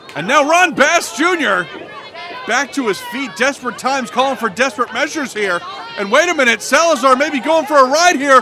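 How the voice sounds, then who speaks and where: Over crowd noise in the background, a man speaks in a raised, projected voice with an extremely high pitch and lively intonation. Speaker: wrestling commentator. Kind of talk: live wrestling commentary, play-by-play call. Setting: outdoors, at ringside before a live crowd.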